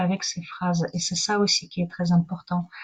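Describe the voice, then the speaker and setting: A somewhat breathy woman's voice with a non-native accent, medium pitch and a moderate pace. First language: not French (speaking French). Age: 40s. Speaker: spiritual wellness teacher. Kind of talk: live online talk. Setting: livestream. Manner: halting.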